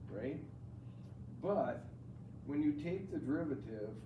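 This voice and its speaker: Somewhat breathy and dark, mellow in tone, a man speaks at a fairly slow pace with lively intonation amid audible room echo. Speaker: math teacher. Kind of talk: classroom lecture. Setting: classroom with students.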